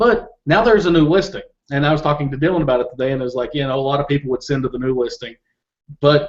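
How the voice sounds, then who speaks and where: This man's voice sits at a fairly high pitch. He talks with a Southern US accent. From Kentucky. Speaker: Amazon seller. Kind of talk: interview. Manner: halting, many repeated words.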